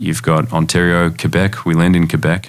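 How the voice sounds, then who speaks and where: With an Australian accent, a man speaks at a moderate pace in a very deep, low voice with vocal fry and ordinary pitch variation. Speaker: lending company CEO. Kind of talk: interview. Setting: studio.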